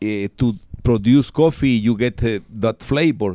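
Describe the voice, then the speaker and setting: Lively intonation marks this man's speech in a Spanish accent. The recording is very clean, with a silent background. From Guatemala. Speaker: town mayor and coffee farmer. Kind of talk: interview. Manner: halting.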